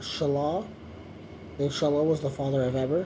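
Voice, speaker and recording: A man speaks with a fairly high pitch. There is noticeable background noise along with audible room echo. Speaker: YouTuber reading the Bible aloud. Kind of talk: reading aloud with commentary. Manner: slow, hesitant reading; casual asides.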